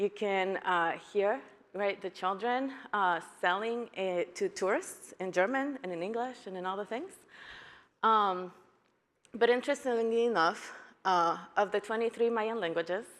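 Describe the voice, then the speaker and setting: A woman speaks at a moderate pace with a Spanish accent. Her pitch varies in an ordinary way, broken by long, frequent pauses. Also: medium pitch for a woman. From Guatemala. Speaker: educator, keynote speaker. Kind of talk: conference keynote talk.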